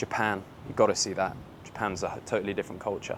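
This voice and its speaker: In an English accent, a man speaks at a fairly quick pace. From England. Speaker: online business influencer. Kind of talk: casual vlog rant. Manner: animated.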